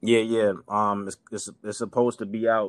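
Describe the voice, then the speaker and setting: A man with a New York accent at a moderate pace. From New York City, Queens. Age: 30s. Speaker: rapper. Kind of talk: casual interview chat. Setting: remote call.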